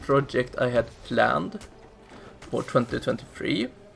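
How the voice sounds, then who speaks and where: A man's voice over noticeable background noise. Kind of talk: casual channel update voiceover. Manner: speaking somewhat loudly.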